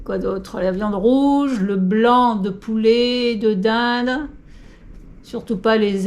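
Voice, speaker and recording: Audible room echo surrounds a woman who speaks at a very slow pace in a fairly high pitch with fairly even intonation. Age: 60s. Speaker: senior fitness coach. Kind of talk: tutorial. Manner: casual, hesitant with fillers.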